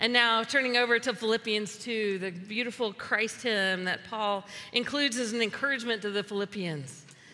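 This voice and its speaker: In an unremarkable speaking voice, a woman with an American accent talks at a moderate pace and fairly high pitch, with ordinary pitch variation and hardly any pauses. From US South. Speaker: pastor. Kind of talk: sermon.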